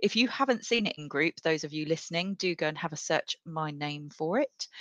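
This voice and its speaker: The voice has a British accent and a bright, sharp tone, with lively intonation at a moderate pace. The sound is dry and close with no echo, against a quiet background. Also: woman. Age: 40s. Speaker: podcast host. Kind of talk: casual chat.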